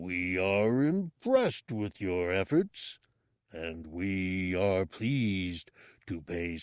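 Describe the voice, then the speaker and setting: A man's put-on character voice, rumbling and very deep, at a very slow pace with ordinary pitch variation, in a dry, close sound with no echo and a very clean recording with a silent background. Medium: read story. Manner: slow, regal, speaks of himself as we.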